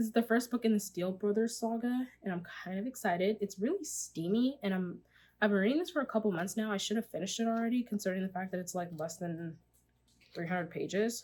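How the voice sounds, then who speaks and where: At a very fast pace, a woman speaks at medium pitch, somewhat breathy, with ordinary pitch variation. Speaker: book vlogger. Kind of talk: casual chat.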